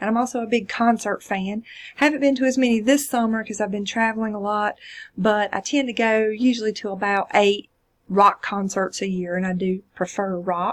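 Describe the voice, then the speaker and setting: The intonation is fairly even. The delivery keeps a moderate pace. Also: woman, fairly high pitch for a woman. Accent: South Carolina. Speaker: college instructor. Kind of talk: course introduction video. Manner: casual, hesitant fillers.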